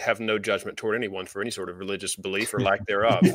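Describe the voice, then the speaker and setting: A man talks with a Southern US accent. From US South, Georgia. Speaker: podcast co-host. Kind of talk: casual chat.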